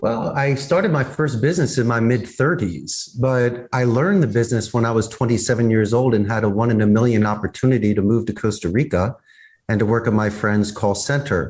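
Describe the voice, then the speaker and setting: Somewhat breathy, a man with an American accent speaks fairly quickly at medium pitch, with ordinary pitch variation and very even loudness against a quiet background. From US Northeast, Philadelphia. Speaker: business owner. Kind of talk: interview. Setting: video call.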